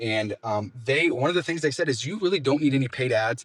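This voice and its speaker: At a fairly quick pace, the voice is somewhat breathy, with lively intonation. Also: man. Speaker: window cleaning business owner. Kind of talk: business tips talk. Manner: fast.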